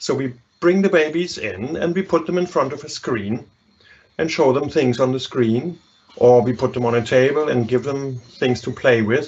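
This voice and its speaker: With a German accent, a man of medium pitch speaks at a moderate pace with ordinary pitch variation. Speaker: psychology professor. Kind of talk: lecture. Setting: live online webinar.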